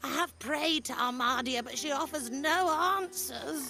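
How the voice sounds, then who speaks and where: Over clear music in the background, a female-sounding voice in a put-on character voice speaks at a moderate pace and a high pitch. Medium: video game. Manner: polite, mild, self-deprecating.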